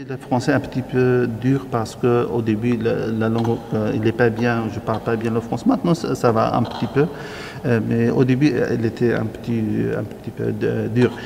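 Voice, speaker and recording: A man with an Arabic accent at a medium pitch and moderate pace, fairly even intonation, noticeable background noise. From Syria. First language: Arabic (speaking French). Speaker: refugee interviewee. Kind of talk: interview testimony. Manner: halting.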